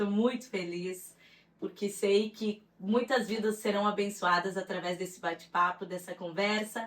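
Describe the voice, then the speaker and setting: A woman talks at medium pitch and a moderate pace. Her intonation stays fairly even. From Rio Grande do Sul, southern Brazil. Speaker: psychologist and author. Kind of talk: testimony interview.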